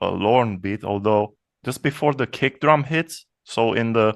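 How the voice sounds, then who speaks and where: Against a quiet background, a man speaks at a fairly slow pace and a fairly low pitch, the sound dry and close with no echo. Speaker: electronic music producer. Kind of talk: casual chat. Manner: halting, many repetitions.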